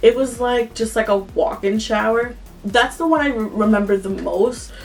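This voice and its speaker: A woman talks with an American accent. Noticeable background noise sits behind her. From Yonkers, New York. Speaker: vlogger. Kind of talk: storytime vlog. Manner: casual, filler-heavy.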